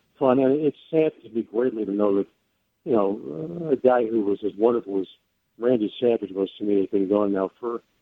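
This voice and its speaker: A normal speaking voice from a man in an American accent, fairly low in pitch with ordinary pitch variation, at a fairly quick pace. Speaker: sports radio host and former wrestling ring announcer. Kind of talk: interview answer.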